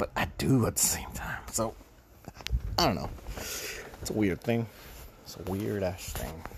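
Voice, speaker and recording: Over noticeable background noise, a man with a fairly low pitch swings very widely in pitch and leaves long, frequent pauses. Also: fairly slow pace. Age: late 20s. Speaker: solo podcaster. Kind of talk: casual monologue. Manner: rambling, halting with fillers.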